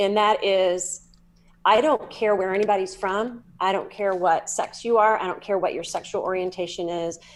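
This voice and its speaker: A Southern US accent comes through at a moderate pace with ordinary pitch variation. The recording is very clean, with a silent background. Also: woman. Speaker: psychic medium and energy healer. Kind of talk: podcast interview. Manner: animated.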